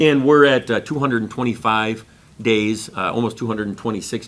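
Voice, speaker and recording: This man speaks at a medium pitch and a fairly quick pace, with ordinary pitch variation. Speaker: school district finance administrator. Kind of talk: board meeting presentation. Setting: public board meeting. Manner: fast.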